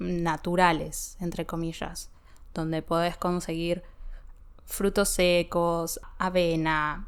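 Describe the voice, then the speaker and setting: This woman speaks in a Rioplatense accent at a medium pitch. Her pace is very slow. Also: very clean recording, silent background. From Buenos Aires, Argentina. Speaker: Spanish teacher. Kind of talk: language-learning podcast talk.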